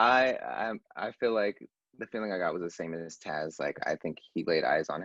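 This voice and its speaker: Over music in the background, a man talks at a moderate pace, the sound dry and close with no echo. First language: not English. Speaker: fan panelist in a book club. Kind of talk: casual group discussion.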